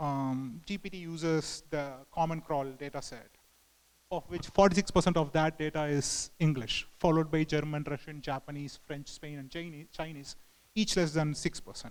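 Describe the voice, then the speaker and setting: This man's fairly high voice comes with a Tamil accent, a moderate pace, ordinary pitch variation and big swings in loudness. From southern India. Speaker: engineering manager, conference speaker. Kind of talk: conference talk. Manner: halting, many fillers.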